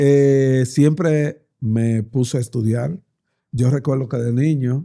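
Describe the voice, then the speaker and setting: Speaking at a very slow pace, a man uses a medium pitch and a dark, mellow tone. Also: fairly even intonation. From Dominican Republic. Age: 60s. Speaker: politician. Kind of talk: interview.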